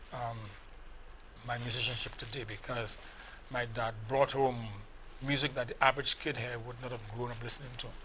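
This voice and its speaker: A man speaks at a moderate pace in a monotone, flat intonation, with noticeable background noise behind him. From St Lucia, Castries. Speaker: musician. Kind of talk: TV interview. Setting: TV studio.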